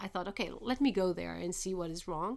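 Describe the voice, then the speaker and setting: A woman with a Portuguese accent on a very clean recording against a silent background. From Portugal. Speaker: linguist. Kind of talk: interview.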